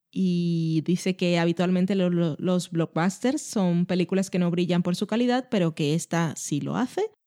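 A woman's dark, mellow tone comes through dry and close with no echo, in a very clean recording with a silent background. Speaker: podcast co-host. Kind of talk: casual chat.

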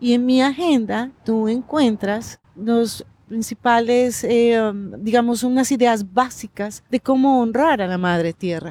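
Delivered at a very slow pace, the voice has a dark, mellow tone and ordinary pitch variation. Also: woman. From Colombia, Pasto (Nariño, Andean region). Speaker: agenda author. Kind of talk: interview. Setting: outdoors in a park.

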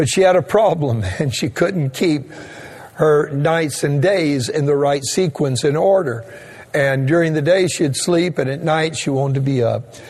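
With an American accent, a man speaks at a moderate pace and ordinary pitch variation, with audible room echo and noticeable background noise. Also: fairly high pitch for a man. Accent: Cajun Louisiana Southern US. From Louisiana, Cajun. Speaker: pastor. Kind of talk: sermon. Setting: online streaming church service.

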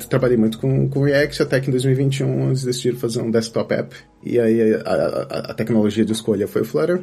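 In a normal speaking voice, a man talks at a fairly quick pace with a medium pitch, ordinary pitch variation and very even loudness. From Brazil, Campinas. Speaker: software engineer. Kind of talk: interview.

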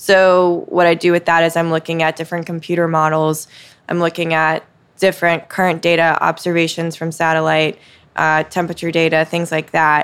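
A woman speaks at a fairly quick pace with an American accent, her fairly low voice held in a monotone, flat intonation. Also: very clean recording, silent background. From US South, Mississippi Gulf Coast. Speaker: TV meteorologist. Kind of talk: interview conversation. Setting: coffee shop after hours.

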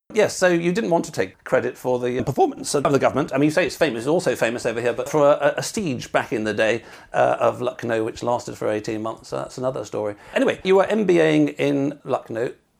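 A man talks in a British accent. He goes at a very fast pace with hardly any pauses. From Britain. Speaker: podcast host. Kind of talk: interview.

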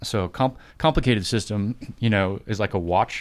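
A man's fairly low-pitched, plain, everyday voice at a moderate pace, on a very clean recording with a silent background. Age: 50s. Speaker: former soldier, civilian professional. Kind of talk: casual chat.

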